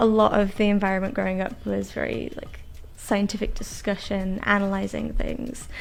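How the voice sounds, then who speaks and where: This woman's moderate pace is heard through noticeable background noise. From northern England, West Yorkshire. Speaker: sales engineer. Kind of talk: casual interview. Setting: studio.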